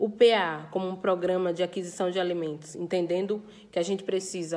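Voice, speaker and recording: Here is an unremarkable speaking voice from a woman with a fairly low pitch. She talks at a fairly quick pace. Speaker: farmers' movement leader. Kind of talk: recorded interview statement.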